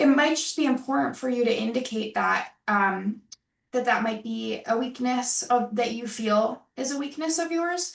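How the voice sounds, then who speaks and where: A woman with an American accent speaks at a high pitch. Her pitch variation is ordinary. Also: moderate pace. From Rochester, New York. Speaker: program director presenting open house. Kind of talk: online open house Q&A.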